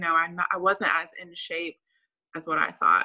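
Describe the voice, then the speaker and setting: A woman speaks at a moderate pace. Nothing much can be heard behind her. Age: 30s. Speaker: nurse. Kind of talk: casual interview. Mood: friendly, reflective. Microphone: video call.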